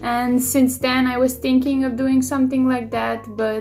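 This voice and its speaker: Music plays in the background as a woman speaks with a non-native accent. Her pace is fairly slow. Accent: noticeable non-native. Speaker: illustrator. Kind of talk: casual talk to camera. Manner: hesitant, many fillers.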